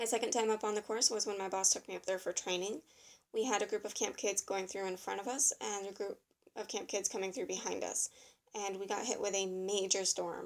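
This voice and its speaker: A woman's normal speaking voice at medium pitch, fairly quick and fairly even in intonation, on a very clean recording with a silent background. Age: 20s. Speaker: ropes course facilitator and writer. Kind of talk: reality show audition video.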